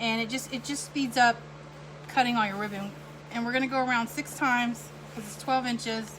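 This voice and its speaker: With noticeable background noise behind her, a woman speaks at a fairly high pitch and a fairly quick pace, with ordinary pitch variation and long, frequent pauses. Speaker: wreath maker and night nurse. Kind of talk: live craft tutorial. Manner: fast; rambling, halting with fillers.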